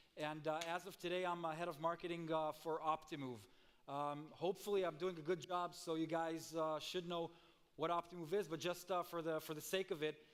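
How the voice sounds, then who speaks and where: A man's high-pitched voice at a fairly quick pace, with fairly even intonation. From Israel, Tel Aviv. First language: Hebrew. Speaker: marketing executive, conference speaker. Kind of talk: conference presentation. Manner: frequent fillers and hesitations.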